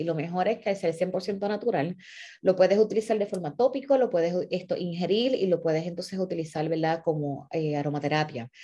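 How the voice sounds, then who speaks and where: This woman has a dark, mellow tone and talks at a moderate pace. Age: 40s. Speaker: nonprofit founder and former teacher. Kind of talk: monologue to followers. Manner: halting.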